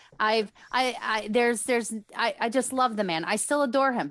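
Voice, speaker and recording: Against a quiet background, a woman speaks at a fairly high pitch, and the sound is dry and close with no echo. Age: 40s. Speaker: podcaster and author. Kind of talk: casual chat. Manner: animated.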